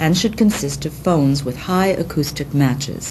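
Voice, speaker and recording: This woman speaks at a moderate pace, with noticeable background noise around her. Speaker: documentary narrator. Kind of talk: scripted documentary narration. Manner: formal, measured, even-paced; didactic, precise, dry and impersonal. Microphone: old recording.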